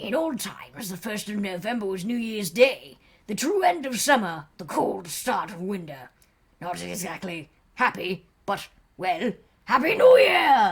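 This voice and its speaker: A raspy put-on character voice from a woman at a moderate pace. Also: medium pitch for a woman. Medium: game stream. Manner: eerie, theatrical.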